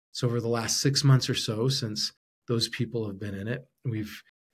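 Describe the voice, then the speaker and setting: On a very clean recording with a silent background, a man with an American accent speaks at a moderate pace and medium pitch, somewhat breathy, with fairly even intonation. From Arizona. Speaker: podcast host and entrepreneur. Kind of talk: solo podcast monologue. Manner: frequent fillers and repetitions.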